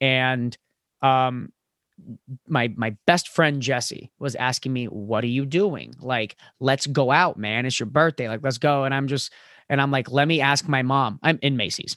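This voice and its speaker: A man with an American accent speaks at a fairly slow pace, his medium pitch moving with ordinary variation in an animated tone. The recording is very clean with a silent background, and the sound is dry and close with no echo. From Florida. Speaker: podcast host and comedian. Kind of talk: casual chat. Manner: loud.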